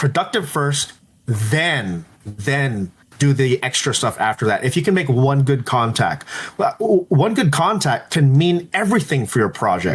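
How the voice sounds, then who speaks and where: Very wide pitch swings mark this man's speech in an American accent. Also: fairly high pitch for a man, very even loudness. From Los Angeles, California. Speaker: entrepreneur and PR agency head. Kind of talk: podcast interview. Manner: loud.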